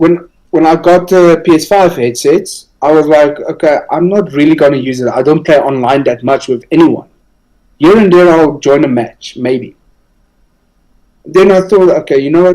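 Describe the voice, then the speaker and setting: A man speaks with a non-native accent in a dark, mellow tone. His fairly high pitch shows ordinary variation at a moderate pace. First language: not English. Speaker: gaming podcast co-host. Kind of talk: casual chat.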